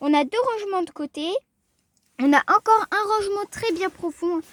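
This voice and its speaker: A woman with a slight Alsatian accent swings very widely in pitch, recorded with a dry, close sound and no echo. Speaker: car video youtuber. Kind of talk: casual car review vlog. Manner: casual, hesitant with fillers.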